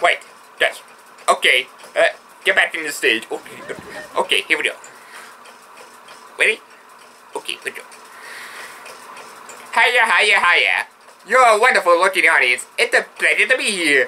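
A man in a cartoonish character voice speaks high-pitched at a moderate pace, with long, frequent pauses. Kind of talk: vaudeville stand-up patter. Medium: puppet show. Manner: eager, excitable, comic.

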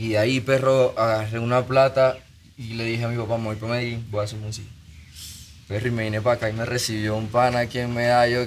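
Over light background noise, a man rattles on at a very fast pace in a monotone, flat delivery. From Venezuela, Maracaibo. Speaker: musician. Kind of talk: casual chat. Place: studio. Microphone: studio mic.

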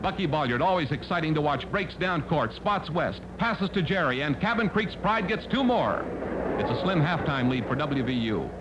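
At a moderate pace, a man with a fairly high pitch talks in an upbeat, dramatic tone, his loudness very even over noticeable background noise. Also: lively intonation. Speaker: sports newsreel narrator. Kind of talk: 1950s sports newsreel narration, voiceover over game footage. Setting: voiceover on archival film. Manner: brisk, punchy, clipped play-by-play delivery; upbeat, dramatic, quip-laden, excited at big moments.

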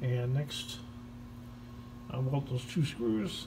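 A man's somewhat breathy voice has a dark, mellow tone and fairly even intonation, with noticeable background noise behind it. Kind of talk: casual repair commentary. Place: garage. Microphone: phone near.

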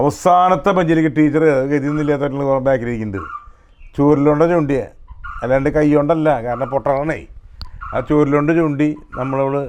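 Over noticeable background noise, a man speaks at a fairly high pitch with very even loudness and fairly even intonation. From Kerala, Thrissur district (Kodakara). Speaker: film director telling life stories. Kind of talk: storytelling interview.

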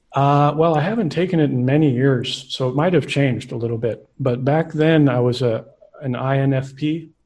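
Against a quiet background, a man with an American accent sounds somewhat breathy. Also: ordinary pitch variation, moderate pace. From Central Coast California. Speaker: astrologer. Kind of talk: interview. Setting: video call. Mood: relaxed, warm. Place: home room. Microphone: studio mic.

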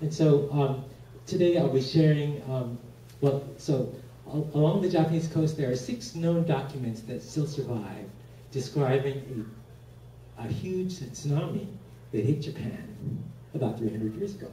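A man talks at a fairly slow pace with long, frequent pauses and ordinary pitch variation. Light background noise and audible room echo are present. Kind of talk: lecture.

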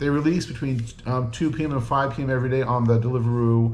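A man speaks in a somewhat breathy voice with fairly even intonation. Light background noise can be heard. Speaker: food reviewer. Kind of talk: casual vlog chat. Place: home room. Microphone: camera far.

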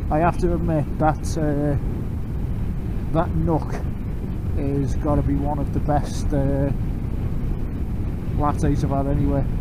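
A man's fairly slow speech with long, frequent pauses amid loud background noise. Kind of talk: casual chat over intercom. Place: motorbike. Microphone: helmet.

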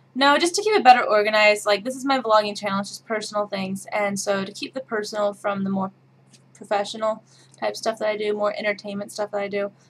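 A woman with a Midwestern accent at a very fast pace, with ordinary pitch variation and big swings in loudness. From Midwest, Kansas. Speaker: vlogger. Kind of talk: casual talk to camera. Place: home room.

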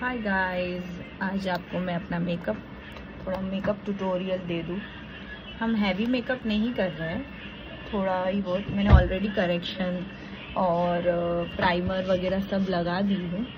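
A woman's flat, monotone delivery with long, frequent pauses over noticeable background noise. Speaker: makeup vlogger. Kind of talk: casual makeup tutorial chat. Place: home room. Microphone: phone near.

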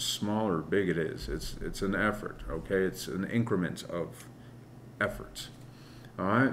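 Light background noise sits behind a man who speaks at a fairly slow pace with vocal fry and ordinary pitch variation. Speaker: tarot reader. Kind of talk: tarot reading commentary. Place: home room.

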